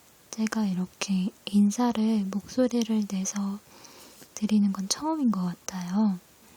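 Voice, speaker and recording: A soft-spoken voice moves at a very slow pace against noticeable background noise. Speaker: ASMR creator. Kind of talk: casual talk to camera.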